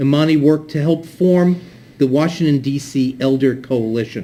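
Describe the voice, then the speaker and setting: A man with a dark, mellow tone talks at a fairly high pitch and a moderate pace, with ordinary pitch variation. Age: 60s. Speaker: event moderator. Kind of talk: speaker introduction at community event.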